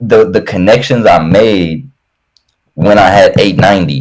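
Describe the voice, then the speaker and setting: A man's voice with ordinary pitch variation. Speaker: music artist and podcast co-host. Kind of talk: casual chat. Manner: stammering.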